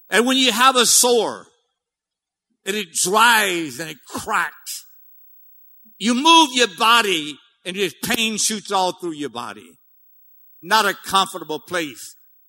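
A man with an American accent uses a raised, projected voice with a bright, sharp tone, speaking at a very slow pace with long, frequent pauses. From US South, Louisiana Cajun. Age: 70s. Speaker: missionary preacher. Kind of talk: sermon.

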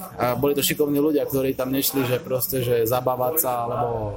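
Over noticeable background noise, a man talks at medium pitch and a moderate pace with ordinary pitch variation. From western Slovakia (Hlohovec area). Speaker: engineering PhD student. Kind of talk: casual interview.

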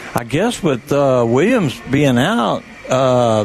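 Over music in the background, a man with an American accent speaks at a medium pitch with lively intonation. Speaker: radio color commentator. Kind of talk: conversational football color analysis. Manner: halting, filler-heavy, repeats words while analyzing.

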